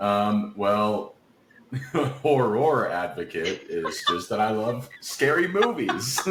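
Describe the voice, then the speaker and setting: Speaking at a very slow pace with an American accent, a man is heard amid noticeable background noise and audible room echo. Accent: Appalachian, comes out when relaxed. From West Virginia, Appalachia. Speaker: voice actor and singer-songwriter. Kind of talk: interview conversation.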